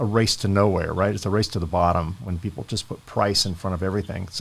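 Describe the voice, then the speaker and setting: A man talks at a fairly quick pace in a plain, everyday voice pitched fairly low. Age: 60s. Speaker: podcast host. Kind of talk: interview podcast.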